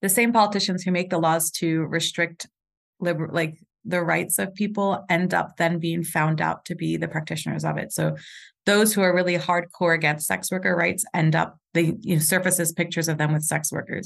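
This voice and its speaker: A woman with a New York accent and vocal fry, fairly low in pitch, with fairly even intonation at a fairly quick pace over a quiet background. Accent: New York American. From New York (Puerto Rican). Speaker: sex coach and educator. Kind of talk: casual interview chat.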